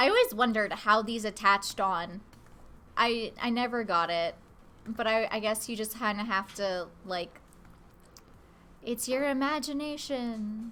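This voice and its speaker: A woman's fairly high pitch with a bright, sharp tone, ordinary pitch variation, a fairly slow pace and long, frequent pauses. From Canada. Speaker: guest artist on a live stream. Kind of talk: casual live-stream chat while drawing. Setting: home, roommates present. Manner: casual, with fillers and self-corrections.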